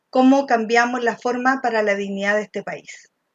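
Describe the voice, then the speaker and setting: A normal speaking voice, its intonation fairly even. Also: woman. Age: 50s. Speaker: political candidate. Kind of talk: candidate interview.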